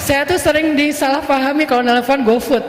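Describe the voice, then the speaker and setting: Someone speaks at a moderate pace with noticeable background noise behind them. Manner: gentle, polite.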